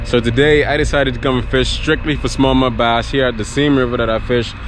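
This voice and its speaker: A man talking at a very fast pace, dry with no echo, over light background noise. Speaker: fishing vlogger. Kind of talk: casual vlog chat. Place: waterside. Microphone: phone near.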